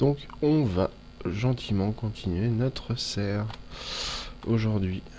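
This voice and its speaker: Against noticeable background noise, a man speaks very slowly at a fairly low pitch, with long, frequent pauses. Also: ordinary pitch variation. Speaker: let's play gamer. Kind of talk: gameplay commentary.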